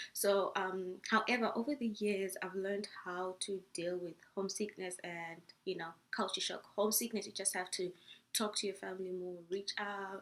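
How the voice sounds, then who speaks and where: This woman talks at a moderate pace with a medium pitch. Her intonation stays fairly even. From Zimbabwe. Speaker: international student vlogger. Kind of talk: casual vlog talk. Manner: hesitant with many fillers.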